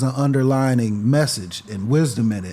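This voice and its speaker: A man's dark, mellow voice with an American accent and lively intonation, on a very clean recording with a silent background. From Freeport, Illinois. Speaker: rapper. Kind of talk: casual interview chat.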